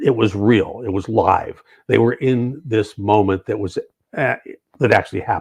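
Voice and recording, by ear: The background is quiet as the speaker reads aloud in a natural voice.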